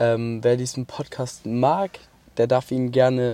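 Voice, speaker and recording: Dark and mellow in tone, a man's voice holds a medium pitch. He speaks at a very slow pace. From Baden-Württemberg, Mannheim area. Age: 20s. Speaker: podcaster. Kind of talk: casual monologue. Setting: in a car at a motorway rest stop. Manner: hesitant, filler-heavy.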